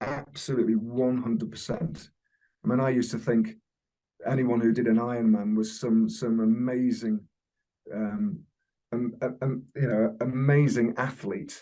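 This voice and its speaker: A man speaks at a medium pitch with fairly even intonation. He leaves long, frequent pauses. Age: 60s. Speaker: amateur endurance athlete. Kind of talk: interview answer.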